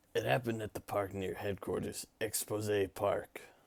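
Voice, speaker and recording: Speaking in a put-on character voice, this raspy delivery moves at a moderate pace with fairly even intonation. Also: man, fairly low pitch for a man. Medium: game stream. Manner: deferential, says sir constantly.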